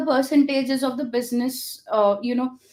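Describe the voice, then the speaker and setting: A woman speaks with an Indian accent and a high pitch. Her pace is moderate. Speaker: developer relations founder. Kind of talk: interview conversation. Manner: hesitant with many fillers.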